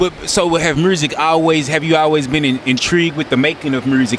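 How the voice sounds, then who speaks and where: A man with a Memphis accent at a very fast pace, fairly high in pitch, with ordinary pitch variation and noticeable background noise. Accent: Memphis Southern US. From US South, Memphis, Tennessee. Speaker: interviewer, video channel host. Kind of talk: casual interview chat. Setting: outdoors on a beach.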